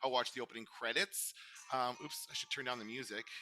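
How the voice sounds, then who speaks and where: Music sits in the background. A man speaks at a very fast pace. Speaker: podcast host. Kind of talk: casual chat. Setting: video call with screen share. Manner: halting, many fillers.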